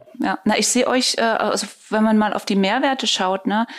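A woman with a fairly high pitch, fairly even intonation and moderate pace, in an ordinary speaking voice. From eastern Germany. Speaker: podcast host. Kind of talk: interview.

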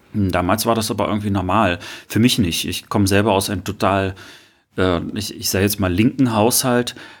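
An ordinary speaking voice moves at a moderate pace, its intonation fairly even. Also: man, fairly low pitch for a man. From Rostock, northeastern Germany. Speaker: podcast co-host. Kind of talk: casual chat.

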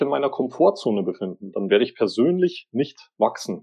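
Moving at a moderate pace, a man with a fairly high pitch speaks with very wide pitch swings. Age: 30s. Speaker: author and social media agency owner. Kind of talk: interview.

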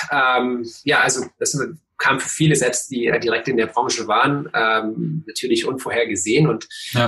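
Bright, sharp tone from a man, his intonation fairly even. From eastern Germany, Cottbus. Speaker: tech founder and investor. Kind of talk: interview. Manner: relaxed; halting, many fillers.

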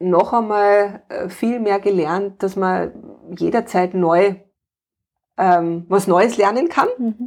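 Over a quiet background, a woman speaks at a very slow pace and a medium pitch with ordinary pitch variation, leaving long, frequent pauses. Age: 40s. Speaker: painting-play facilitator and homeschooling mother. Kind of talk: interview.

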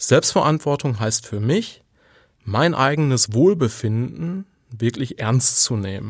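Over a silent background in a very clean recording, a man speaks very slowly at medium pitch with lively intonation. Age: 40s. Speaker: podcast host and leadership coach. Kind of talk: solo monologue on self-improvement. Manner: conversational with filler words.

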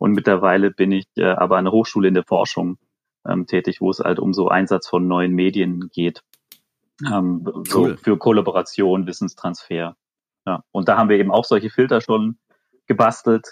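This man has a very deep, low voice and a monotone, flat intonation. He talks at a moderate pace. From Swabia, near Stuttgart. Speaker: amateur golfer, listener guest. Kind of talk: casual chat. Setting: remote call from home.

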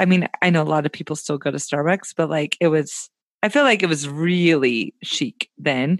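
A woman with an American accent speaks at a moderate pace with lively intonation. The sound is dry and close, with no echo. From US South, Tennessee. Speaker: podcaster and travel enthusiast. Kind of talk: casual interview chat.

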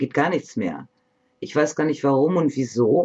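Dark and mellow in tone, a woman's very deep, low voice moves with ordinary pitch variation. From northern Germany, Bremen. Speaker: psychologist. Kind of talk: interview.

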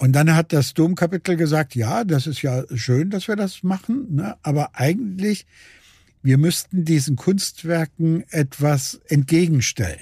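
This man has a fairly high pitch and a dark, mellow tone, speaking at a fairly slow pace with lively intonation. The recording is very clean with a silent background, dry and close with no echo. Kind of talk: interview. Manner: halting.

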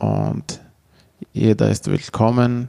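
A man with an Arabic accent. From Syria, Manbij near Aleppo. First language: Arabic (speaking German). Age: 20s. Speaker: refugee volunteer, community manager. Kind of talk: interview. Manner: halting.

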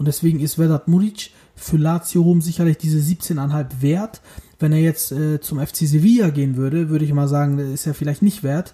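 His voice has a dark, mellow tone and a fairly high pitch for a man. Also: moderate pace. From northern Germany, Bremen. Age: 30s. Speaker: football podcast co-host. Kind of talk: casual chat. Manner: animated.

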